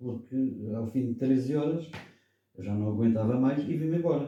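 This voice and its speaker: There's audible room echo as a man talks in a medium-pitched voice. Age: 70s. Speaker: political commentator. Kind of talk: radio debate.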